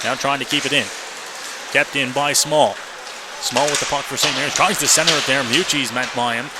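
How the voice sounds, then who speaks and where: Noticeable background noise surrounds a man whose energetic, medium-pitched speech runs at a very fast pace. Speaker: radio hockey play-by-play announcer. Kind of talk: live sports radio play-by-play commentary. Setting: live arena broadcast, audio only stream. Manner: fast, energetic, rapid-fire game calling.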